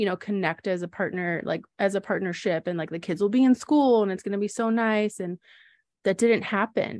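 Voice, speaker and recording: Against a quiet background, a woman in an ordinary speaking voice talks at a fairly quick pace and medium pitch with ordinary pitch variation, the sound dry and close with no echo. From Wisconsin, US Midwest. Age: 30s. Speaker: podcast co-host, small business owner and mom. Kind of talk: casual personal storytelling. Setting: studio with sibling co-host.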